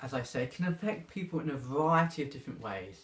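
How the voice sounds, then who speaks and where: This man's voice is somewhat breathy. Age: 20s. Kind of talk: personal testimony.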